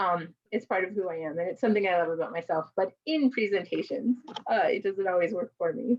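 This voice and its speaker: With lively intonation, a woman talks fairly quickly at a medium pitch. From Mexican American, US. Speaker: conference presenter and caregiver advocate. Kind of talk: presentation to a virtual conference. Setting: virtual conference video call. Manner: fast.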